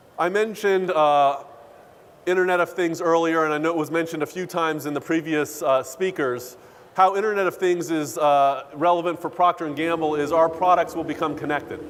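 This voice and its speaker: This man talks at a fairly quick pace in a high pitch, his intonation fairly even. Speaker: corporate data executive. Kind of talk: keynote speech. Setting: conference stage with audience. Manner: many filler uhs.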